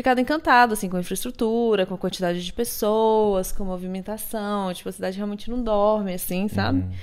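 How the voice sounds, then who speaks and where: A woman at a very fast pace, hardly any pauses, ordinary pitch variation. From Brazil. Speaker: marketing professional and yoga teacher; yoga teacher. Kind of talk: casual chat. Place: home room.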